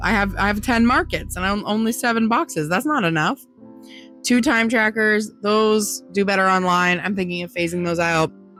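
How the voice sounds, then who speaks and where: Over music in the background, a woman speaks at medium pitch with ordinary pitch variation. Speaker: small business maker selling at markets. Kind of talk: casual talk to camera.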